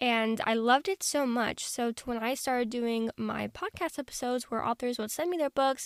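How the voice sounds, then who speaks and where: A woman's high-pitched voice at a moderate pace, with ordinary pitch variation and a dry, close sound with no echo. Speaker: podcast host, book reviewer. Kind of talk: casual book review monologue. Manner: quieter, less energetic than usual.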